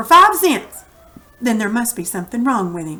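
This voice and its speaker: Using a put-on character voice, a woman speaks at a fairly high pitch and a moderate pace. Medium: read story.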